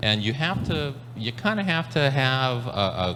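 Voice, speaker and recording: A man speaks fairly slowly at a medium pitch with lively intonation, and the room echo is audible. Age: 60s. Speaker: maker community organizer. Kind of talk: panel discussion. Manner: halting, many repetitions.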